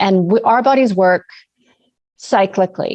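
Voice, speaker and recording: Her pitch is medium for a woman, and she speaks fairly slowly. The background is quiet. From Canada. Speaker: naturopathic doctor. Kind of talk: interview.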